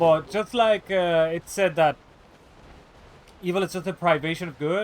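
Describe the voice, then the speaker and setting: A man with a non-native accent, high-pitched, at a moderate pace and with fairly even intonation. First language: not English. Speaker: streamer. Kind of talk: casual live-stream chat. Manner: halting, many fillers.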